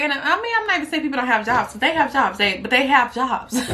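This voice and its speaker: A woman projects a raised, high-pitched voice with very wide pitch swings. Background noise is noticeable. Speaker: YouTuber. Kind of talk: casual vlog monologue.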